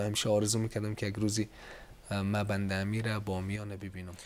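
A man of fairly low pitch at a moderate pace, with light background noise. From Iran (Mashhad, Afghan migrant). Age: 30s. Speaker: photographer; talk show guest. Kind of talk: TV interview. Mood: warm, nostalgic. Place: studio. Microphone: lapel.

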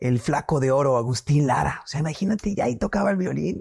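A man speaks at a fairly high pitch and a moderate pace. The background is quiet. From Mexico, Morelia, Michoacán; Michoacán, Mexico. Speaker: singer-songwriter; guest. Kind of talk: casual interview. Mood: cheerful, animated storytelling. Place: home room. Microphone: lapel.

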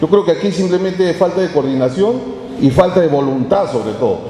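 Over clear background noise, a man talks at a fairly quick pace with ordinary pitch variation.

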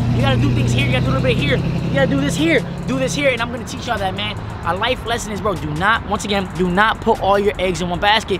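Music plays behind the speaker. He is a man talking very fast. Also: dry sound with no echo. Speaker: vlogger. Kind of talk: casual vlog chat. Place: street. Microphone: camera far.

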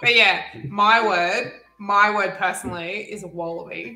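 Over faint music and audible room echo, a woman with a slight Australian accent speaks at a fairly high pitch. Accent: barely Australian. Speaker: stream guest. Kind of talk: casual chat. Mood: playful, animated. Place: home room.

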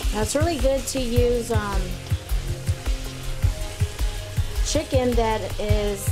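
A woman speaks at a very slow pace. Music is clearly audible in the background. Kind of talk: tutorial. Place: kitchen.

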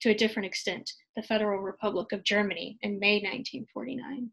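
Against a quiet background, a woman with an American accent speaks at a fairly high pitch. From United States. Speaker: history graduate student; conference presenter. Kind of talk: conference presentation. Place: home room. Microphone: webcam.

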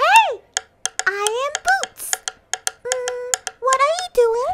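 A squeaky, cartoonish character voice at an extremely high pitch drags along at a very slow pace. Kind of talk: children's educational show. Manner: bright, enthusiastic.

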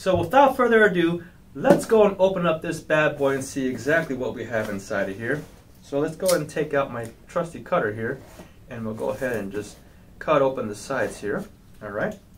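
A man's voice swings widely in pitch and jumps a lot in loudness. Light background noise sits behind him. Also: fairly quick pace. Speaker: product reviewer. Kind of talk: unboxing tutorial. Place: office. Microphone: camera far.

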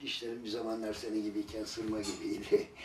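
With light background noise and audible room echo, a man speaks at a moderate pace. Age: old. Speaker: grandparent of a sick child, street vendor; street vendor. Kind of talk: casual family chat and appeal to officials. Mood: warm, gently smiling. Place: home room.

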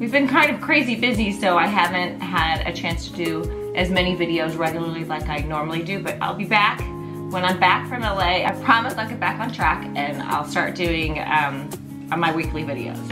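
Clear music plays behind a woman speaking at a moderate pace. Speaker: lifestyle vlogger. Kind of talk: casual vlog chat. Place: home room. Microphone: camera far.

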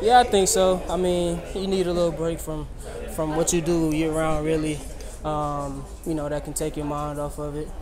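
A man speaks with an American accent at a moderate pace. There is noticeable background noise. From United States. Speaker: sprinter. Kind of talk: interview answer. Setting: trackside after a race. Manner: soft-spoken. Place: tent. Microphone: phone near.

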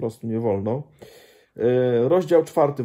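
A dark, mellow tone carries a somewhat breathy voice. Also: man. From Poland. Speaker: Baptist pastor and missionary; Baptist pastor. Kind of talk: casual book review monologue. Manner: halting, with frequent repetitions and fillers. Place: home room. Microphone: phone near.

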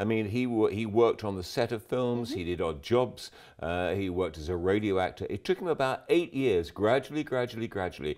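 Against a quiet background, a man speaks at a fairly quick pace in a fairly low pitch. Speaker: guest. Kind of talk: commentary. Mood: relaxed, enthusiastic. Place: studio.

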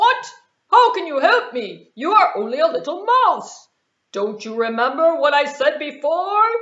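A cartoonish character voice sits at a high pitch. Its pitch swings very widely. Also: moderate pace. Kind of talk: children's puppet show. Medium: puppet show. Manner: grand, boastful, disbelieving.

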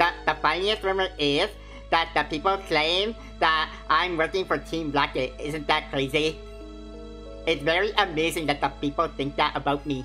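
A put-on, nasal character voice at a middle pitch and moderate pace, with clear music in the background. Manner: earnest, nasal nerd delivery.

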